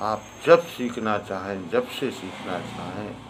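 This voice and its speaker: Here is a man with a normal speaking voice. He has a fairly low pitch and ordinary pitch variation. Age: 50s. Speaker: harmonium teacher. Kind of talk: tutorial talk.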